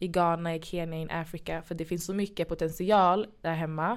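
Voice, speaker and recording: A woman with a fairly low pitch talks at a moderate pace in an ordinary speaking voice. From Sweden. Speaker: podcast host. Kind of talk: casual chat.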